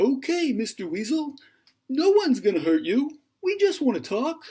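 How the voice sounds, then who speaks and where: A put-on character voice at a high pitch swings very widely up and down while moving at a moderate pace. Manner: soothing, calm.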